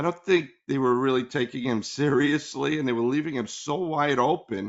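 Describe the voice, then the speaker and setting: A man talks at a fairly slow pace in a plain, everyday voice. His pitch varies in an ordinary way. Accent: American. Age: 60s. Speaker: sports podcast co-host. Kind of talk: casual chat.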